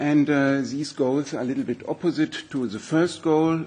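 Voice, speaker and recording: This man talks with a German accent, his fairly high pitch moving with ordinary variation. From Germany. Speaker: environmental scientist. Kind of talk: expert presentation at a hearing. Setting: parliament hearing room. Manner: halting, many fillers.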